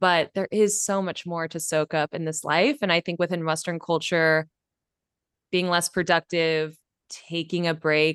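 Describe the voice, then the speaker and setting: A woman with a West Coast accent speaks in a fairly low voice with monotone, flat intonation, recorded dry and close with no echo against a quiet background. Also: fairly slow pace. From California, Bay Area. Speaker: podcast host. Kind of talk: casual interview.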